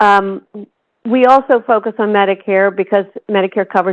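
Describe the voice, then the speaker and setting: This is a normal speaking voice with an American accent. The intonation stays fairly even. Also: woman. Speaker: health policy expert. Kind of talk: lecture. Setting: conference room with audience.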